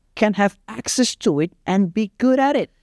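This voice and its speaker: A man with a high pitch speaks in an Indonesian accent, the sound dry and close with no echo. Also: very clean recording, silent background. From Indonesia, East Java (Surabaya). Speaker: fitness coach. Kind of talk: casual chat.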